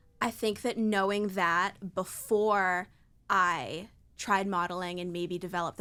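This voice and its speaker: In a very clean recording with a silent background, a woman with an American accent speaks in a bright, sharp tone at a medium pitch, with ordinary pitch variation. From Maine, US. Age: 20s. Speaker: model and author. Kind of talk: podcast interview.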